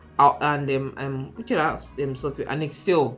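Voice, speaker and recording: Mumbled speech with an American accent and ordinary pitch variation, over music in the background. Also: woman. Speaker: YouTuber, career advice. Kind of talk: tutorial-style vlog. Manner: fast; mumbles, hesitant with fillers.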